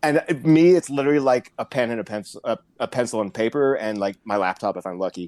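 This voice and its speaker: Against a quiet background, a man talks very fast at a medium pitch with lively intonation, the sound dry and close with no echo. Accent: American. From Florida, Orlando. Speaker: percussion professor and judge. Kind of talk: podcast interview.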